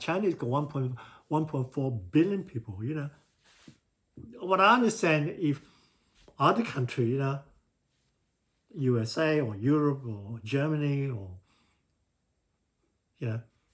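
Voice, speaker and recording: Speaking at a fairly slow pace with long, frequent pauses, a man with a fairly high pitch sounds somewhat breathy and uses lively intonation, recorded very cleanly against a silent background. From Singapore. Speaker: civil engineer. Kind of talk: casual talk to camera. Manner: hesitant, repetitive.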